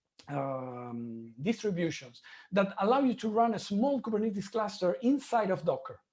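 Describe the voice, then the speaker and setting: Someone with a non-native accent speaks at a fairly slow pace on a very clean recording with a silent background. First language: not English. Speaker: conference speaker, software engineer. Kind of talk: conference talk.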